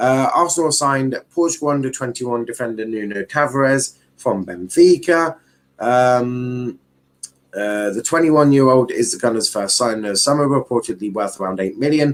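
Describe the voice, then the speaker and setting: A man in a strong southern English accent, medium in pitch, at a moderate pace with ordinary pitch variation. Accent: thick Southern English. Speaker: football YouTuber. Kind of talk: live stream commentary. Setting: live stream. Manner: casual, repetitive, halting.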